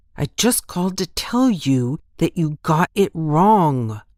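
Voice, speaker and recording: Quietly and at a fairly slow pace, a man puts on a character voice with a nervous tone, pitched high and swinging very widely. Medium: read story. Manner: nervous, hushed.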